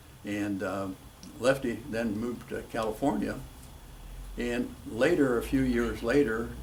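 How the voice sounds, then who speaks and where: With audible room echo, a man at a medium pitch talks at a fairly slow pace, pausing long and often, his pitch varying in an ordinary way. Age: 80s+. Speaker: retired drag racer. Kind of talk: interview.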